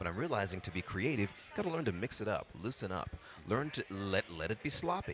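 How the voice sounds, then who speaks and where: Noticeable background noise surrounds a man speaking at a fairly quick pace. His tone is animated, with very wide pitch swings. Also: fairly low pitch for a man. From Brooklyn, New York. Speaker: voice actor. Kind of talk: casual interview chat.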